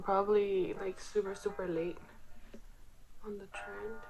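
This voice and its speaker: Music plays behind the speaker. She is a woman with a medium pitch. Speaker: makeup hobbyist. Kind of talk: casual makeup tutorial talk to camera. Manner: monotone, low-key.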